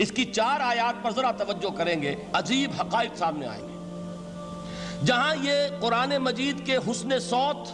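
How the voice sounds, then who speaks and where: Over music in the background, a man talks at a high pitch with ordinary pitch variation. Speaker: Islamic scholar. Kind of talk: religious lecture.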